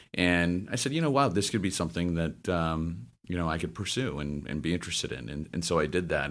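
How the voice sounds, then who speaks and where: A man speaks fairly quickly in a very deep, low voice with vocal fry and ordinary pitch variation. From US South, Memphis, Tennessee. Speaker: finance executive. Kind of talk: interview. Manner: eloquent, smooth.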